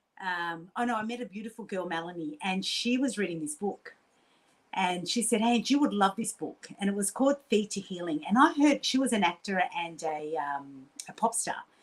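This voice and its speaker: A woman with an Australian accent sounds animated, her medium-pitched voice carrying lively intonation. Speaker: quantum healer and coach. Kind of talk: casual interview storytelling. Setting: podcast interview. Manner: fast.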